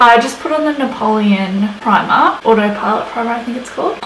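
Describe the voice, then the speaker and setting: A soft-spoken woman with an Australian accent, audible room echo and noticeable background noise. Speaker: beauty vlogger. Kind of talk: chatty get-ready-with-me tutorial. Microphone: no proper microphone, audio may be quiet.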